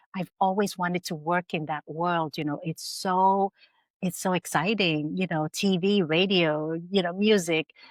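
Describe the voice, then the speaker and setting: This woman has an ordinary speaking voice, pitched fairly low, with fairly even intonation, captured in a very clean recording with a silent background and a dry, close sound without echo. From Canada (Vietnamese-born, arrived at age eight). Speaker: entrepreneur and filmmaker. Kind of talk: interview. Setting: podcast.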